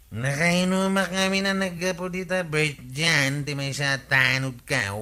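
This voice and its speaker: A man's put-on character voice, fairly high in pitch, with ordinary pitch variation and a fairly slow pace. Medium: audio drama. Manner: jokey, laughing.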